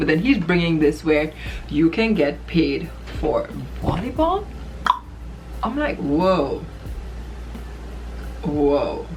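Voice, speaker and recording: A woman with a Trinidadian accent, music in the background. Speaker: volleyball player. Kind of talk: casual talk to camera.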